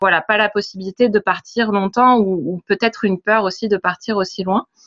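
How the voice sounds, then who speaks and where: Using an ordinary speaking voice, a woman talks at a moderate pace and medium pitch. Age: 30s. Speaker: travel blogger and translator. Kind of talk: interview.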